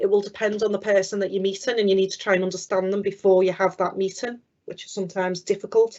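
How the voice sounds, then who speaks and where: A woman's medium-pitched voice in a Liverpool accent, very fast, with monotone, flat intonation. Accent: Liverpool (Scouse). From Liverpool area, England. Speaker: business development manager. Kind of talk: careers talk.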